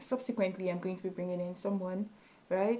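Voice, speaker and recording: This woman's dark, mellow tone moves along with fairly even intonation. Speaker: YouTube tutorial creator. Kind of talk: tutorial. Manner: loud; halting.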